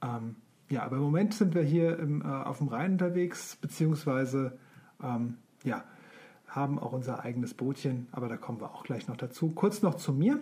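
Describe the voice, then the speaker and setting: A man with a rather high voice speaks at an average speed, his pitch rising and falling normally. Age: 40s. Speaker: podcast co-host, self-employed sign maker. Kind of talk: casual chat. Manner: hesitant, many fillers.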